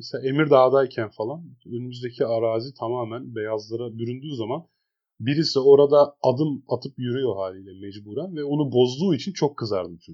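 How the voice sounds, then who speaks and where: A man's plain, everyday voice at medium pitch, fairly quick, with ordinary pitch variation and big swings in loudness. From Eskişehir, Turkey. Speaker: podcast co-host. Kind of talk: casual chat.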